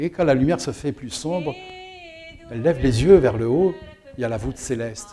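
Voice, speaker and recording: Music can be heard in the background. Over it, a man talks with lively intonation. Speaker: storyteller. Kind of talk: dramatic storytelling of a myth, told as an oral tale with a rhythmic, incantatory build. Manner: animated, with short repetitive mirrored phrases that build tension.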